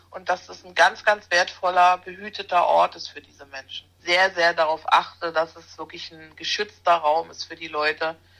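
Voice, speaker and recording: Loudness swings widely in a bright, sharp tone with fairly even intonation. There are hardly any pauses. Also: woman, fairly low pitch for a woman, moderate pace. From Berlin, Germany. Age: 50s. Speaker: animal naturopath. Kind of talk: interview.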